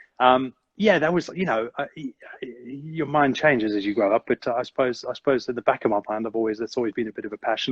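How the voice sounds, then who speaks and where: Talking at a very fast pace, a man with a South African accent holds a medium pitch with ordinary pitch variation. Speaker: business owner. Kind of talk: interview chat. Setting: live video stream. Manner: halting, many fillers.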